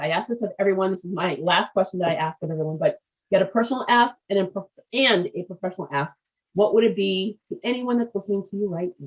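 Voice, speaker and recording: A woman with an American accent and a plain, everyday voice, medium in pitch, at a fairly quick pace. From US, Haitian American family. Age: 50s. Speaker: business podcast host. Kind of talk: interview.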